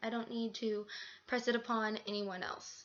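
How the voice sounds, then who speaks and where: This woman has a fairly high pitch and speaks with an American accent. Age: 20s. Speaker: college student vlogger. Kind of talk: personal vlog monologue. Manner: halting, many fillers.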